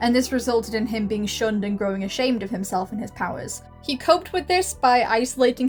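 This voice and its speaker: A woman with ordinary pitch variation, music playing behind her. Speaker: video essayist. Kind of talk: video essay commentary.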